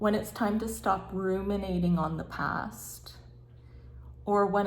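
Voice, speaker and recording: Here a woman speaks at medium pitch with ordinary pitch variation. Her voice is somewhat breathy. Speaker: tarot reader. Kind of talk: tarot reading to camera. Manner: slow.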